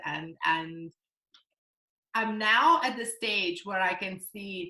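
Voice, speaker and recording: A woman with a non-native accent, medium in pitch, with a bright, sharp tone. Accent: foreign. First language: not English. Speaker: network marketing entrepreneur. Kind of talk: interview. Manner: hesitant, many fillers.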